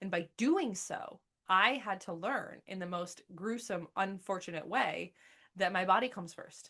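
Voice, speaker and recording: A woman with a medium pitch and ordinary pitch variation speaks in an animated, bright, sharp tone. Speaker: podcast host and coach. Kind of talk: monologue podcast. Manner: fast.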